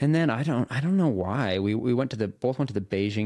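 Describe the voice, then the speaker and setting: With a West Coast US accent, a man speaks in a lively intonation. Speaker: professional triathlete and video creator. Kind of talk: casual interview chat.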